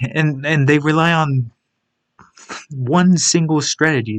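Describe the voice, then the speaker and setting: The voice is soft-spoken. Its pace is very slow. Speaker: gaming video creator. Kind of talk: video game tier list commentary. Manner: halting.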